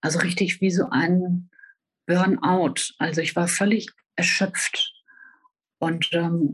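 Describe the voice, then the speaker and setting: Long, frequent pauses break up a woman's speech. She talks very slowly. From northern Germany, Hannover. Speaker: professional horse rider and author. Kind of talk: personal testimony in interview. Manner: hesitant, many filler sounds.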